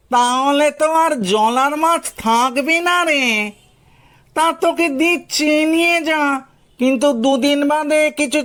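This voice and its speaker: Cackling in a put-on character voice, a high-pitched speaker goes at a fairly slow pace. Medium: audio drama. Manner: cackling, familiar, greedy.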